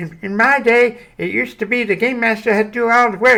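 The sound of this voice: This is a put-on character voice. It is fairly high in pitch and moves at a fairly quick pace.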